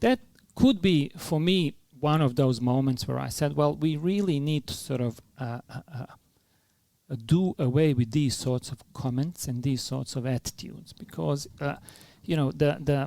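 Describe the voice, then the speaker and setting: Dark and mellow in tone, this voice carries a strong non-native accent and ordinary pitch variation. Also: man, fairly high pitch for a man, moderate pace. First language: not English. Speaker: philanthropy leader, former refugee. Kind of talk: podcast interview. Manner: hesitant, many fillers.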